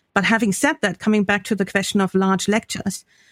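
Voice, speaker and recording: The sound is dry and close with no echo, on a very clean recording with a silent background. A woman speaks at a medium pitch. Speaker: professor and podcast co-host. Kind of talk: casual academic discussion.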